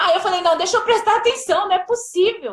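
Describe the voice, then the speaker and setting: A woman speaks at a fairly quick pace. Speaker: mother telling her birth story. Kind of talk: testimony. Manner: emotional.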